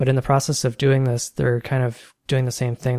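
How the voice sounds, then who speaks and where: A man speaks at a fairly quick pace, somewhat breathy, in a dark, mellow tone. The sound is dry and close with no echo. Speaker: podcast co-host, software developer. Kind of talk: casual tech discussion. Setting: home desk setup, Skype call.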